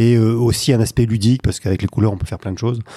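A man speaks in a dark, mellow tone, the sound dry and close with no echo on a very clean recording with a silent background. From northern France, Lille. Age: 50s. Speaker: sales coach. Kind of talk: podcast interview.

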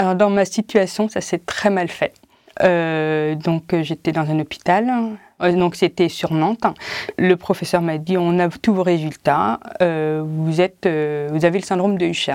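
On a very clean recording with a silent background, a woman speaks very slowly at a fairly low pitch. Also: ordinary pitch variation. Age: 40s. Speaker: patient with a rare disease. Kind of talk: testimony. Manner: halting.

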